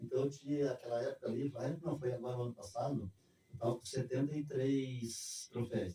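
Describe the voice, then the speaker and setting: A man with a dark, mellow, somewhat breathy tone speaks at a medium pitch and a moderate pace, his intonation fairly even. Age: 70s. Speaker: street runner. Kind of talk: interview.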